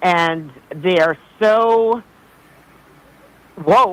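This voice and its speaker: With lively intonation, a woman speaks in a Boston accent, recorded with a dry, close sound and no echo. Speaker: caller. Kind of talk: call-in conversation. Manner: animated.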